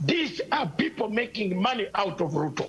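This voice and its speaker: Noticeable background noise runs under the clip. A man speaks with very wide pitch swings. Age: 60s. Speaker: political commentator. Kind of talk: heated debate. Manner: animated.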